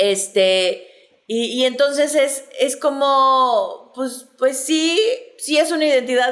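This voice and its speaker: Very slowly, a high-pitched woman speaks with lively intonation. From Mexico City. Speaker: sexologist, podcast host. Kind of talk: casual chat. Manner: hesitant, many fillers.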